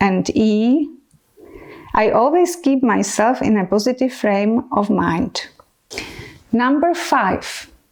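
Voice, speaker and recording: A woman's high voice in a Czech accent, very slow, with long, frequent pauses, lively intonation and very even loudness. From Czech Republic. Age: 40s. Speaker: medical educator. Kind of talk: educational talk to camera. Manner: enthusiastic.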